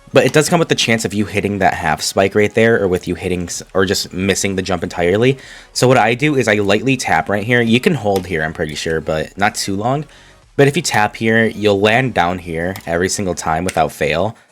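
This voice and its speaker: A man's fairly low voice, with typical rises and falls in pitch, is heard against background music. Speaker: gaming commentator. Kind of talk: tutorial. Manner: casual, some repetitions.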